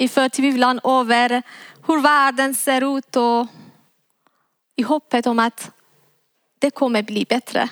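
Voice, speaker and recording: A woman with a Persian accent speaks in a high voice with monotone, flat intonation and very even loudness. Her pace is very slow, with long, frequent pauses, and the sound is dry and close with no echo. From Iran. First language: Persian (speaking Swedish). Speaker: preacher. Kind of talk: sermon. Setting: church.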